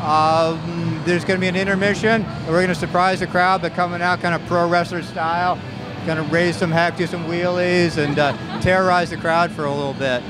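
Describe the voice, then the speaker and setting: A man at a fairly quick pace, dry sound with no echo, clear music in the background. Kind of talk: interview answer. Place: stadium. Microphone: handheld.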